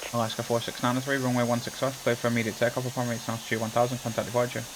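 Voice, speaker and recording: Noticeable background noise sits behind this recording. A man with a medium pitch talks at a very fast pace. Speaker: video game streamer. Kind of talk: gameplay commentary.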